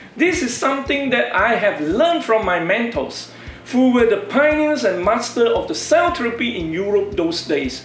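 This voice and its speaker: Over background music, a man talks at an extremely high pitch with very wide pitch swings. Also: moderate pace. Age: 60s. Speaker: stem cell researcher and entrepreneur. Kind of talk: scripted presentation. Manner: formal.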